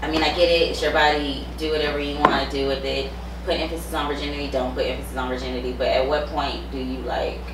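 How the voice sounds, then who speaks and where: A woman at a very fast pace, with audible room echo and noticeable background noise. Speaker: podcast host. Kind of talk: casual chat. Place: studio.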